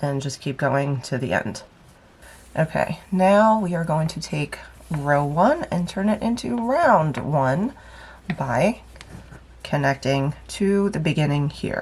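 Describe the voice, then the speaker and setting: Very deep and low for a woman, her somewhat breathy voice moves at a very slow pace with long, frequent pauses and lively intonation. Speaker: crochet teacher. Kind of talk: tutorial. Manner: casual, instructional.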